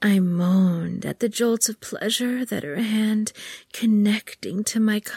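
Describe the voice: The text is read aloud plainly. The pitch moves an ordinary amount.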